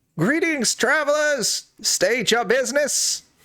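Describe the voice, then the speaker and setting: A man performs a put-on character voice at an extremely high pitch. He delivers it at a fairly slow pace. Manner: officious, challenging.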